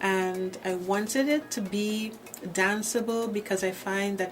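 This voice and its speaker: A woman talks at a medium pitch with fairly even intonation. Noticeable background noise is present. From Trinidad and Tobago. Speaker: gospel singer. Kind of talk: interview. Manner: halting.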